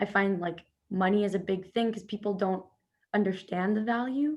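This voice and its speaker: With a medium pitch and fairly even intonation, a woman talks at a fairly quick pace against a quiet background. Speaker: personal trainer. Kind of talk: casual chat. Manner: fast.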